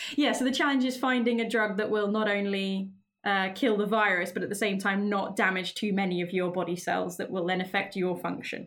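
A woman with a British accent, fairly quick and with hardly any pauses, her intonation fairly even. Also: medium pitch for a woman. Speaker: school biology teacher. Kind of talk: casual podcast chat.

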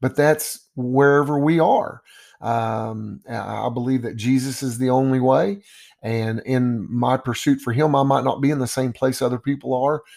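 With a Texan accent, a man speaks at a moderate pace and medium pitch with fairly even intonation. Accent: Texan (US Southern). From Texas, Dallas. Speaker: basketball coach. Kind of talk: podcast monologue. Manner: hesitant, many fillers.

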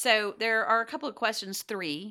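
Over a very clean recording with a silent background, a woman with a Southern US accent speaks at a moderate pace in a bright, sharp tone. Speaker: podcast co-host, business coach. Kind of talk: casual chat, podcast conversation.

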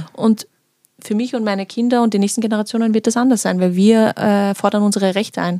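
A woman with a fairly high pitch and a dark, mellow tone speaks at a very fast pace. Her intonation is monotone and flat, and the sound is dry and close with no echo. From Vienna, Austria. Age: 20s. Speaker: political scientist. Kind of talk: casual chat.

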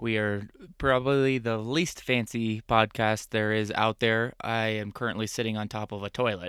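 In an American accent, a man talks at a moderate pace with a medium pitch and fairly even intonation. It's an ordinary speaking voice, with a dry, close sound with no echo. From Arizona. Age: 30s. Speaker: van life podcast co-host. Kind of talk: casual chat. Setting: inside a camper van.

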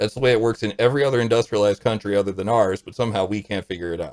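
A man with an American accent talks at a very fast pace, his pitch medium with ordinary variation. The recording is very clean, with a silent background. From US Midwest, St. Louis. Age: 40s. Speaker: podcast guest. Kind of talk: casual chat.

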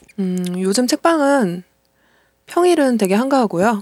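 Music in the background behind a woman's fairly high voice, fairly slow, with very wide pitch swings and a dry, close sound with no echo. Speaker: podcast host. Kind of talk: casual chat.

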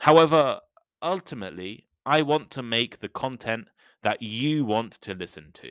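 In an English accent, a man speaks at a medium pitch and moderate pace with lively intonation and big swings in loudness, on a very clean recording with a silent background. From England, Midlands. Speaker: podcast host, English teacher. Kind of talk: educational podcast monologue. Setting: home recording with cheap microphone. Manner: clear, measured pace for learners.

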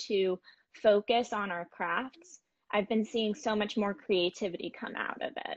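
A woman with a normal speaking voice talks at a fairly slow pace, her fairly high pitch rising and falling with ordinary variation. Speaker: fashion graduate and intern. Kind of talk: casual interview.

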